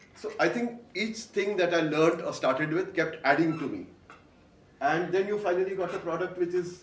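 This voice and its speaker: Loud and high-pitched, a man speaks at a moderate pace with ordinary pitch variation, amid noticeable background noise and audible room echo. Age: 60s. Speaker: voice artist and author. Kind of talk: onstage interview. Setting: stage with audience.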